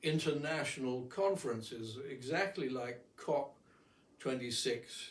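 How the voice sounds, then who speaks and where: A man with a fairly high pitch and a somewhat breathy voice speaks at a very slow pace. His pitch varies in an ordinary way, and the room echo is audible. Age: 80s+. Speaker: amateur painter and philosopher. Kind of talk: casual monologue. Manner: halting.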